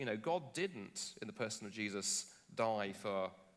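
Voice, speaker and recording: With a British accent, a man speaks in an animated tone with lively intonation. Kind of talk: public dialogue on stage. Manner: animated, with false starts.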